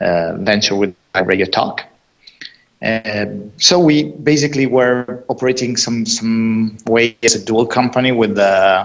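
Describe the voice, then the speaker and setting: At a fairly slow pace, a man with an Italian accent speaks at a medium pitch. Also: ordinary pitch variation. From Italy. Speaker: tech startup co-founder. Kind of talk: interview. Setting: live podcast.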